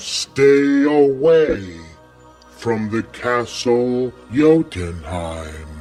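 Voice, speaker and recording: Using a put-on character voice at a medium pitch, a man speaks at a very slow pace while faint music plays in the background. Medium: read story. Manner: relaxed, genial.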